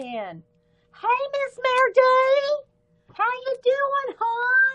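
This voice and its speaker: A woman's put-on character voice, squeaky and extremely high-pitched, very slow and monotone with flat intonation. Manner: thick, put-on, friendly greeting.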